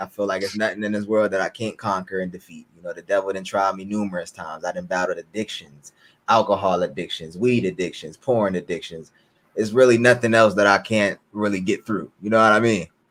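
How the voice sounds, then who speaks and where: Moving at a fairly quick pace, a man has an unremarkable speaking voice with ordinary pitch variation and big swings in loudness. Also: fairly low pitch for a man. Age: 20s. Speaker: YouTuber. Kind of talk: interview.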